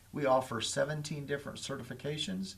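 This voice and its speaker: A fairly high male voice with an American accent, vocal fry, ordinary pitch variation and a fairly quick pace. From Indiana, Lafayette area. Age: 60s. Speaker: school superintendent. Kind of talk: talk show interview.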